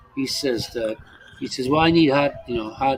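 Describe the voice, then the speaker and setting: A man speaks at a medium pitch with ordinary pitch variation over noticeable background noise. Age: 60s. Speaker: expat livestream host. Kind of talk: casual chat. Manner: halting, many repetitions.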